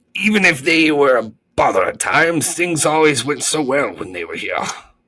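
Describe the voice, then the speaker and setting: A man's put-on character voice, raspy and fairly high in pitch. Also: moderate pace. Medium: read story.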